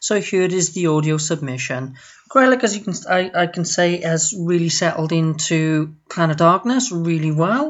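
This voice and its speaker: A woman with a Welsh accent speaks at a fairly low pitch with ordinary pitch variation. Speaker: listener. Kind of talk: recorded audio message.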